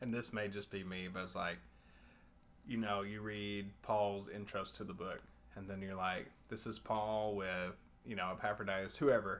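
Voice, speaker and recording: In a Texan accent, a man speaks with a fairly low pitch and fairly even intonation. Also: moderate pace. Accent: Texan American. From Texas, Abilene. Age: 20s. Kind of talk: casual chat.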